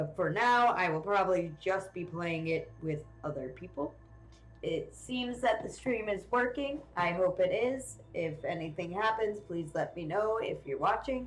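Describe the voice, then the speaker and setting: Amid noticeable background noise and audible room echo, a woman speaks at a fairly slow pace with lively intonation. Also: medium pitch for a woman. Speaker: video game streamer. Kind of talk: live game stream commentary. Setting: live stream. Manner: loud.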